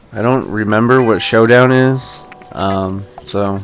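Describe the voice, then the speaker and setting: Music plays in the background with audible room echo. A man speaks at a fairly low pitch with fairly even intonation. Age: 30s. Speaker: gaming video creator. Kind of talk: let's play commentary. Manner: casual with many fillers.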